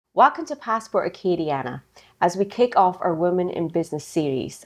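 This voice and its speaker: A woman with a Scottish accent, fairly low in pitch, at a moderate pace with ordinary pitch variation. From Scotland. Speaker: podcast host, banker. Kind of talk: interview.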